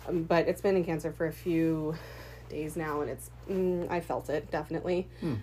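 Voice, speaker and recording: Her intonation fairly even, a woman speaks in a very deep, low-pitched voice. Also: moderate pace. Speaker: podcast co-host. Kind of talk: casual chat. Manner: laughs often, chatty.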